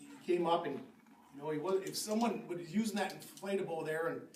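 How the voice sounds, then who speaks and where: A man's animated voice at a moderate pace, with audible room echo and noticeable background noise. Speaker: park board member. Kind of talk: public meeting speech. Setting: city board meeting with audience. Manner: loud.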